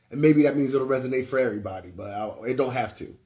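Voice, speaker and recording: Medium-pitched male voice on a very clean recording with a silent background. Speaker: spiritual teacher and livestreamer. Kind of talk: casual livestream chat. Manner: naturally loud; casual, filler-heavy.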